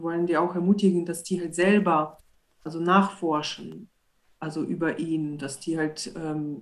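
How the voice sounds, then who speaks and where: A woman's fairly low voice, an unremarkable speaking voice, at a moderate pace with fairly even intonation. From Belarus. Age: 30s. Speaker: church street evangelist. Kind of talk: casual chat.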